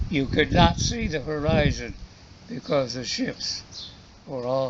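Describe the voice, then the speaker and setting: A man with an American accent and lively intonation, at a very slow pace, with noticeable background noise. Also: fairly high pitch for a man. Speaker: war veteran. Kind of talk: interview answer.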